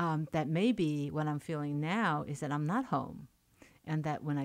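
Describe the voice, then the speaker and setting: A woman speaks at a moderate pace with a Chinese accent, her pitch very deep and low. The recording is very clean, with a silent background. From China and Hong Kong, moved to New York. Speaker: poet and writer. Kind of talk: radio interview. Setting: radio studio. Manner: halting, many fillers.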